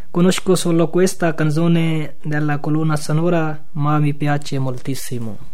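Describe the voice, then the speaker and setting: A man with a Pakistani accent, fairly high in pitch, at a fairly slow pace with fairly even intonation, against noticeable background noise. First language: Urdu (speaking Italian). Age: 20s. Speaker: asylum seeker. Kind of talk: radio interview.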